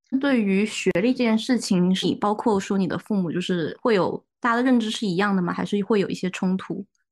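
A woman's normal speaking voice at medium pitch, with ordinary pitch variation, a fairly quick pace, hardly any pauses and a quiet background. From Guangzhou. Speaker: podcast co-host, graduate student. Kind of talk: casual chat. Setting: studio, in person with co-hosts.

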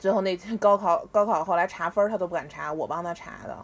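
Animated woman with a Beijing accent and ordinary pitch variation. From Beijing, China. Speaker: former student athlete. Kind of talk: casual chat. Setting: online call.

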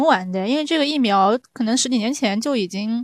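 A woman speaks at a fairly quick pace. Her intonation stays lively. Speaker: podcast host. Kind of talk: casual chat.

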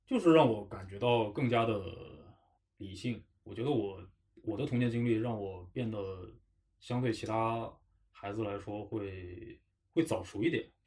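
Man's somewhat breathy, medium-pitched voice with ordinary pitch variation, big swings in loudness and long, frequent pauses. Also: fairly slow pace. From Harbin, northeast China. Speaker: podcast host. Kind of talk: casual chat.

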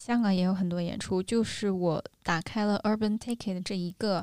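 A woman's voice at a medium pitch. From northern China. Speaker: podcast co-host. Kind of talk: casual chat. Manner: animated.

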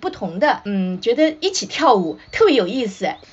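A woman's pitch swings very widely over noticeable background noise. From China, Shanghai. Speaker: children's author and drama professor. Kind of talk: casual chat. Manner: halting, many fillers.

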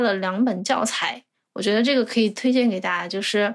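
An unremarkable speaking voice from a woman, fairly high in pitch, at a fairly quick pace with ordinary pitch variation. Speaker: graduate student in Japanese-language education. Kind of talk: casual interview.

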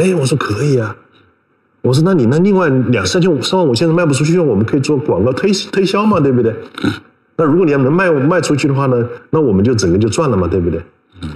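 With very wide pitch swings, a man talks at a very fast pace in a fairly high voice, keeping his loudness very even. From China, Hubei (Yichang). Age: 50s. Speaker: magazine editor-in-chief. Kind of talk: live-streamed conversation. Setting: online livestream, seated beside host.

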